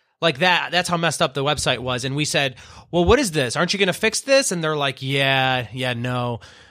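Bright and sharp in tone, a man with a fairly high pitch speaks at a fairly quick pace with an American accent on a very clean recording with a silent background. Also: ordinary pitch variation. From US Midwest. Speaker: family business marketing manager. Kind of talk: interview.

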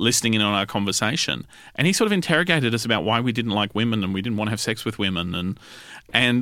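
With an Australian accent, a man talks at a very fast pace in a fairly low pitch, his bright, sharp tone and lively intonation captured in a very clean recording with a silent background. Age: 40s. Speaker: podcast host, magazine writer. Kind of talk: interview.

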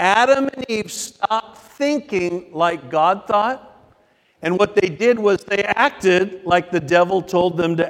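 Here a person is reading aloud in a natural voice.

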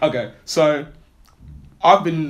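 A man speaks at a very slow pace. His pitch is fairly high, with ordinary variation.

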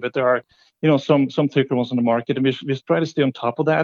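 A man with a Norwegian accent speaks very fast, his voice fairly high for a man and his pitch moving in an ordinary way. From Norway. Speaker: company CEO, entrepreneur. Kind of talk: interview.

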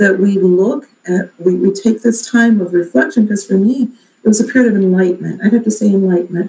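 Somewhat breathy, a woman with a medium-pitched, dark and mellow voice talks at a fairly quick pace. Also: ordinary pitch variation. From Alabama. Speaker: mayor. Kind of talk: interview.

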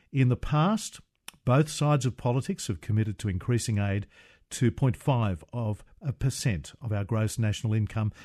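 A man with an Australian accent talks at a moderate pace, his medium pitch varying in an ordinary way. The sound is dry and close with no echo, over a quiet background. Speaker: radio host. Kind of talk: scripted introduction; talk radio interview. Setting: studio.

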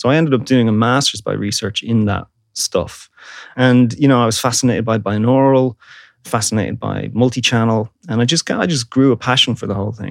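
A man with a Dublin accent speaks at a fairly quick pace in a medium pitch with fairly even intonation, in a dry, close sound with no echo and a very clean recording with a silent background. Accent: Irish (Dublin). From Ireland, Dublin. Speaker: university lecturer and audio researcher. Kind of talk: interview. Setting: studio.

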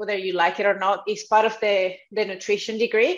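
At a moderate pace, a woman with a fairly high pitch speaks in a Spanish accent. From South America. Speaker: dietitian and nutrition coach. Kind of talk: interview. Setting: video call.

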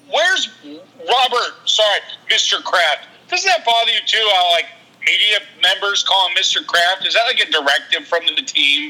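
A man's raised, projected, high-pitched voice with very wide pitch swings, very even loudness and a moderate pace, over noticeable background noise. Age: 40s. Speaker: amateur cook and sports fan. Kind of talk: casual chat.

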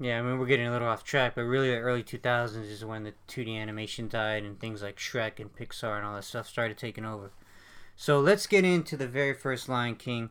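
A man's medium-pitched voice at a very fast pace, with ordinary pitch variation, big swings in loudness, and a very clean recording over a silent background. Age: 20s. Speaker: film podcast host. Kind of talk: casual chat.

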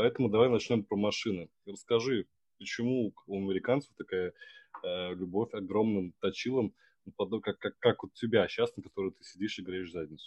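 A man speaks at a moderate pace in an unremarkable speaking voice, fairly low in pitch with ordinary pitch variation and big swings in loudness. The sound is dry and close, with no echo. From Russia, Samara. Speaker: podcast host. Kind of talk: casual chat.

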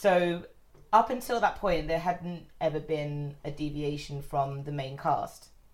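A woman speaks with a London accent at a very deep, low pitch. Her pace is fairly slow. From north London, England. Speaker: guest, friend hosting the recording. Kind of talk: casual chat. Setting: friend's flat.

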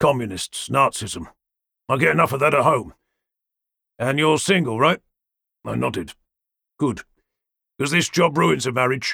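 A man with a medium pitch has a bright, sharp tone with vocal fry and lively intonation. He moves at a moderate pace with long, frequent pauses. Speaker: audiobook narrator. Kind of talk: dramatic audiobook narration with character voices. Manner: wry, gravelly-toned noir delivery with clipped dialogue; shifts between narrator and gruff characters.

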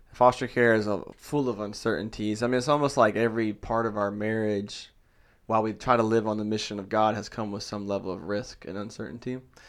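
A normal speaking voice from a man, fairly low in pitch and fairly quick, with fairly even intonation, on a very clean recording with a silent background. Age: 30s. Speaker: church planter, pastor. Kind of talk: interview.

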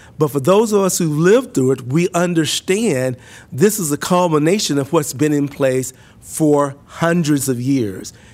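In a very clean recording with a silent background, a man with an American accent and an unremarkable speaking voice talks fairly slowly at a fairly high pitch with lively intonation. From US South, Mississippi. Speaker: university administrator and professor. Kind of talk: podcast interview.

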